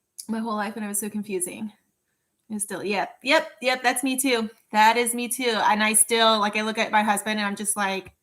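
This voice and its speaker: A woman with a fairly high voice at a fairly quick pace, on a very clean recording with a silent background. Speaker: work-along livestreamer. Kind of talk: casual chat. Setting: livestream. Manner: animated.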